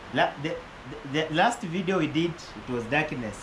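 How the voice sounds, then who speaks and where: Audible room echo surrounds a man's fairly high-pitched voice. Background noise is noticeable. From western Kenya. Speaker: YouTuber. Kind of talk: casual interview. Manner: loud.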